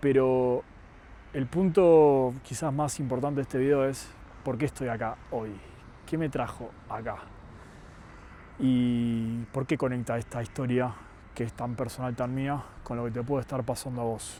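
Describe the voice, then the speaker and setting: A man with an Argentine accent speaks at a fairly slow pace with long, frequent pauses. His medium pitch carries a dark, mellow tone and fairly even intonation. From Argentina. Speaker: youtuber sharing personal story. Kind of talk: personal monologue to camera.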